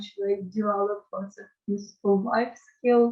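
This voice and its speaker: A woman's somewhat breathy voice, very slow and with fairly even intonation. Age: young. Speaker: university student, refugee. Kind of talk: interview answer.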